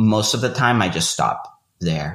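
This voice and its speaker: Man with a Spanish accent, fairly slow pace. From Venezuela. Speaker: fiction writer. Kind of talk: interview conversation.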